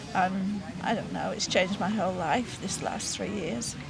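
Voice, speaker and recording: Over music in the background and audible room echo, a woman speaks at a moderate pace with medium pitch. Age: 70s. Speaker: retired nurse. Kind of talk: interview testimony. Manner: halting, with many fillers.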